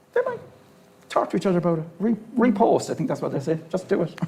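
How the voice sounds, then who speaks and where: With a Cork accent, a man talks at a very fast pace with very wide pitch swings. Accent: Irish (Cork). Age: 60s. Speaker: HIV activist panelist. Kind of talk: panel discussion.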